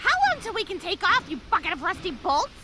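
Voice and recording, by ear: A woman speaks in a cartoonish character voice, extremely high-pitched with big swings in pitch. Her tone is bright and sharp, and she talks fast.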